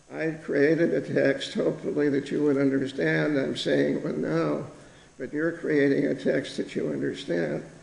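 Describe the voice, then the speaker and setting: The speaker is a man with an American accent. He goes at a moderate pace, and the room echo is audible. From United States. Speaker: professor. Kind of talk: keynote lecture. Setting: conference stage with audience.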